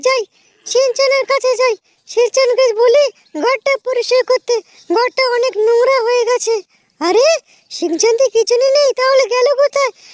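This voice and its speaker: Using a put-on character voice, a woman talks at an extremely high pitch and moderate pace, her loudness very even and intonation fairly even. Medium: machinima. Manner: scolding, impatient.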